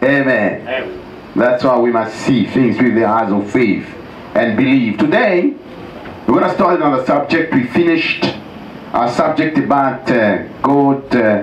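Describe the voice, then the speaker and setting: At a fairly slow pace and very even loudness, a man speaks over noticeable background noise. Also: medium pitch for a man, ordinary pitch variation. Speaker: pastor preaching a sermon. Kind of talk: sermon to a congregation.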